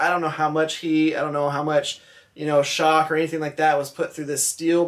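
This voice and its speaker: There is a quiet background behind this man's voice. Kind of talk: casual vlog chat. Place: workshop. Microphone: phone near.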